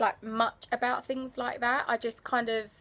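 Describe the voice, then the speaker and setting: The speaker has an English accent. The intonation is monotone and flat. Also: woman. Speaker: travel vlogger. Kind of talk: casual vlog. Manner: quiet.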